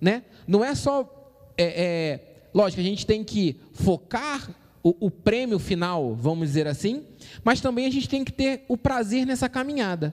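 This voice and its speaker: Speaking in an animated tone with a Brazilian accent, a man uses a high pitch, very wide pitch swings and a fairly slow pace. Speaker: church youth podcast host. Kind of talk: casual chat. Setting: live stream.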